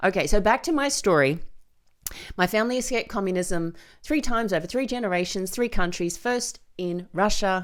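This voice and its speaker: A woman talks fairly quickly in a very clean recording where the background is silent. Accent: Australian. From Australia. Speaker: podcast host and filmmaker. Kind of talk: solo podcast monologue. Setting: studio with microphone and camera.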